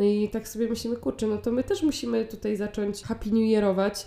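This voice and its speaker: At a fairly quick pace, a woman talks in a dark, mellow tone at medium pitch with fairly even intonation. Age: 20s. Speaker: podcast co-host. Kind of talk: casual chat.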